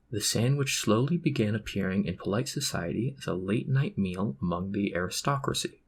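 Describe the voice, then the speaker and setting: A somewhat breathy man at a fairly low pitch, talking at a fairly quick pace with very wide pitch swings and hardly any pauses, on a very clean recording with a silent background. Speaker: ASMR reader. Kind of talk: Wikipedia article reading. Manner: amateurish.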